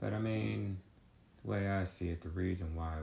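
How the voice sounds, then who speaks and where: There is ordinary pitch variation in this man's speech. His delivery is somewhat breathy. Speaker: host's husband, guest. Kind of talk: casual conversation.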